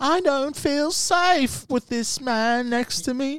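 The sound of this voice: Putting on a character voice with a British accent, a man speaks extremely high for a man at a very slow pace.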